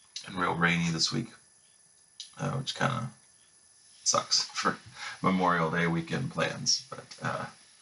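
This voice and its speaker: A man with a very deep, low pitch and an American accent, lively intonation, a fairly slow pace, long and frequent pauses, and noticeable background noise. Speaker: video game reviewer. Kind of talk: casual video review. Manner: casual, many fillers.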